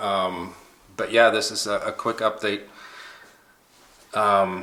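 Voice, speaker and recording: A man speaks very slowly while noticeable background noise carries on behind him. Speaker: YouTuber. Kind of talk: personal vlog update. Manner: halting.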